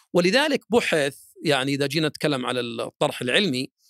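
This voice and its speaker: Delivery comes at a moderate pace with lively intonation. The sound is dry and close, without echo. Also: man. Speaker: sports club board member and social responsibility supervisor. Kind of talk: interview, formal-leaning explanation. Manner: halting with many fillers.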